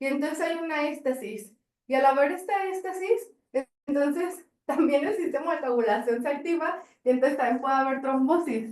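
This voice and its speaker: Her voice sits high in pitch. She sounds lively in her intonation. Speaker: pediatric hematologist lecturer. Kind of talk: lecture. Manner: fast.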